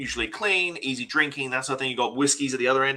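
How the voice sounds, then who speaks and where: A man speaks with an Australian accent at a fairly high pitch. His tone is bright and sharp, his intonation fairly even. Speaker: bar owner and spirits expert. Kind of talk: interview.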